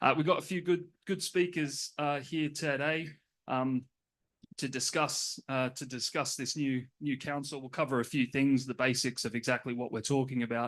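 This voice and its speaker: Against a quiet background, a man with an Australian accent speaks with fairly even intonation. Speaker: panel moderator. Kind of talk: conference panel introduction. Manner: hesitant, many fillers.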